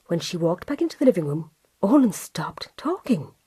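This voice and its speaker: A woman speaks in a Cork accent with lively intonation. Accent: Irish, Cork. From Cork, Ireland. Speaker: storyteller. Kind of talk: children's story reading.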